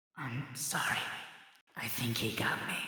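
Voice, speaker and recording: A put-on character voice, raspy and low-to-middle in pitch, delivered at a moderate pace. A strong echo surrounds it. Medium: actual play.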